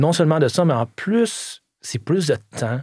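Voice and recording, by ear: A man's slightly mellow, slightly husky voice with vocal fry and lively intonation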